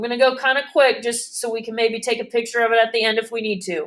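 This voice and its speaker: A woman speaks fairly quickly in a fairly high pitch, with an unremarkable speaking voice. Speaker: math teacher. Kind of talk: classroom lesson.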